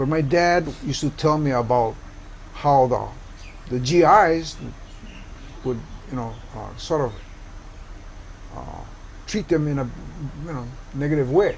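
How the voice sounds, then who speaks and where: With audible room echo, a man at fairly high pitch talks at a moderate pace, using long, frequent pauses, ordinary pitch variation and big swings in loudness. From Hawaii, Oahu (Kalihi). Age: 70s. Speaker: community activist. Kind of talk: interview.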